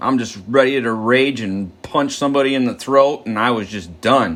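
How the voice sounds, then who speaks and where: In an animated tone, a man talks at a moderate pace with a medium pitch. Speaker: twelve-step study leader. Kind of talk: recovery step study talk.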